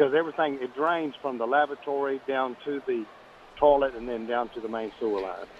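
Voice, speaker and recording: A man with an American accent, medium pitch and ordinary pitch variation, over noticeable background noise. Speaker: radio caller. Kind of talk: phone-in question. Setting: phone call.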